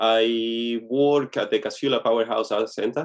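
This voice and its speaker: A man with a Venezuelan accent and medium pitch. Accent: Venezuelan Spanish, noticeable. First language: Spanish. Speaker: chef and photographer. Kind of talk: interview.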